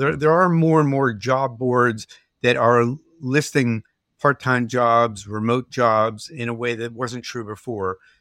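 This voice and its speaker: The speaker has a normal speaking voice, with lively intonation at a fairly slow pace. The recording is very clean, with a silent background. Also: man, dry, close sound with no echo. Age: 60s. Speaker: journalist. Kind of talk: interview. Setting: podcast recording.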